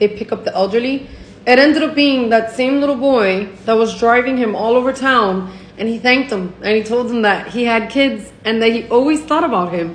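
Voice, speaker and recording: A woman with an American accent speaks at a moderate pace, her fairly high pitch showing ordinary variation. Noticeable background noise runs underneath. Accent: Miami Cuban American English. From Miami. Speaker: Cuban American storyteller. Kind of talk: casual storytime to camera. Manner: casual, profane.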